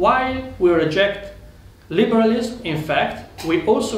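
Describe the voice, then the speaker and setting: With an Italian accent and lively intonation, the voice comes through audible room echo and noticeable background noise. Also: man. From Italy. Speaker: political speaker. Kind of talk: conference speech. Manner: formal.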